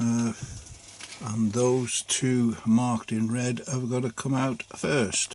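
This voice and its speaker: A man speaks at a very slow pace in a relaxed tone with monotone, flat intonation. Noticeable background noise can be heard. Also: medium pitch for a man. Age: 70s. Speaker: hobbyist maker, 3D printing. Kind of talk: unboxing tutorial narration. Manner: relaxed, hesitant with fillers.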